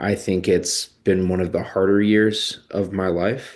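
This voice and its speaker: A man with an American accent talks very slowly in a very deep, low pitch. His intonation is monotone and flat, over a quiet background. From Chicago suburbs, US Midwest. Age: 30s. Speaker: vlogger, tech marketer. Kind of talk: personal reflection monologue. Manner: hesitant, many fillers.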